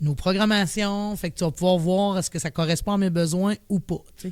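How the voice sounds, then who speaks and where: Fairly quick, fairly even speech from a woman with a fairly low pitch, on a very clean recording with a silent background. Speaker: director of a mental health organization. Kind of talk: podcast interview. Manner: casual.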